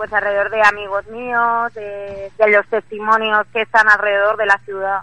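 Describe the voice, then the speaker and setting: A woman talks at a moderate pace and medium pitch, barely pausing at all. Her intonation is monotone and flat, yet her loudness swings widely. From Spain, Valencia. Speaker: illustrator. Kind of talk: radio interview. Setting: phone call from the street. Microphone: phone line.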